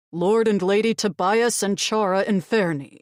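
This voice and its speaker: A female-sounding, put-on character voice speaks at a moderate pace in a medium pitch. The recording is very clean, with a silent background. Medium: read story. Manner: curt, forceful.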